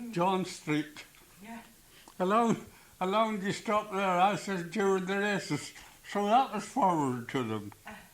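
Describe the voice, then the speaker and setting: A man with a high pitch and ordinary pitch variation speaks with long, frequent pauses. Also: fairly slow pace. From County Antrim, Northern Ireland. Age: 80s+. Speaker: farmer. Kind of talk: oral history interview. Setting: home cassette recording.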